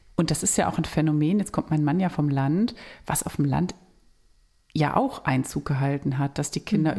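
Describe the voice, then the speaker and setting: Her voice is very deep and low for a woman, with a dark, mellow tone, ordinary pitch variation and a fairly quick pace. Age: 40s. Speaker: family counselor and podcast co-host. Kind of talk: casual chat.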